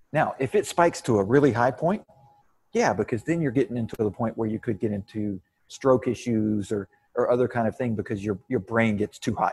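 At a fairly quick pace, a man with an American accent speaks at a medium pitch with ordinary pitch variation, somewhat breathy, with a dry, close sound and no echo. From Texas. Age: 40s. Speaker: fitness coach and podcast host. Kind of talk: casual interview chat.

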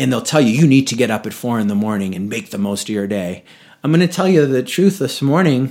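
With a normal speaking voice at medium pitch, a man talks fairly quickly using lively intonation. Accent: American. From New England, Boston area. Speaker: yoga teacher and retreat leader. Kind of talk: casual interview.

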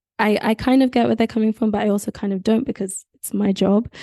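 At a fairly quick pace, a woman talks in a dark, mellow tone with fairly high pitch and monotone, flat intonation. The background is quiet. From Nigeria. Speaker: doctor turned graphic designer. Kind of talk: interview conversation.

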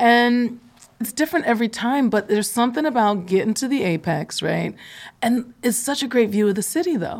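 An unremarkable speaking voice from a woman with an American accent, lively in intonation and fairly quick in pace. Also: fairly high pitch for a woman. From Philadelphia. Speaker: podcast co-host. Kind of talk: casual interview conversation.

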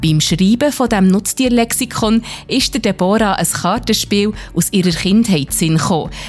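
With music in the background, a woman talks at a moderate pace and medium pitch, her loudness very even and her pitch varying in an ordinary way. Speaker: podcast host. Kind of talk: scripted narration.

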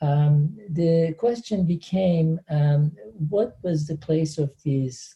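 With a Turkish accent, a man speaks at a very slow pace in a dark, mellow tone. His voice is somewhat breathy and fairly high-pitched, with ordinary pitch variation. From Turkey, Antakya. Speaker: professor. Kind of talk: interview. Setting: video call.

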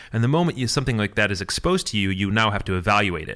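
Bright and sharp in tone, a voice with a Midwestern American accent rushes at a very fast pace on a very clean recording with a silent background. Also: man. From US Midwest (Michigan). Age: 30s. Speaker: programmer and company co-owner. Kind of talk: casual chat.

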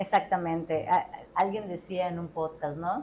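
At a moderate pace, a woman with a Mexican accent speaks in a fairly low voice with a dark, mellow tone. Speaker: podcast host. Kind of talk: casual chat.

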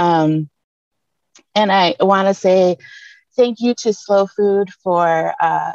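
A woman with an American accent, very slow, with ordinary pitch variation and a dry, close sound with no echo. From Detroit. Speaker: community seed keeper and educator. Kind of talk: panel discussion.

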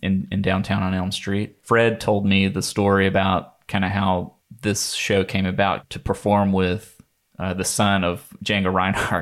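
Speaking at a fairly slow pace, a man uses a fairly low pitch and monotone, flat intonation. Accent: American. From US South, North Carolina (Rockingham County). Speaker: jazz guitarist and bandleader. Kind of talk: interview. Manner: hesitant, many fillers.

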